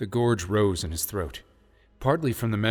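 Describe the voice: The speaker does plain reading aloud. Pitch shifts in an ordinary way.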